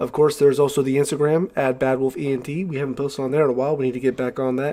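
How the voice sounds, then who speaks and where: A man with a fairly high pitch, talking at a very fast pace. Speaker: podcast co-host. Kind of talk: casual chat. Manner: unenthusiastic.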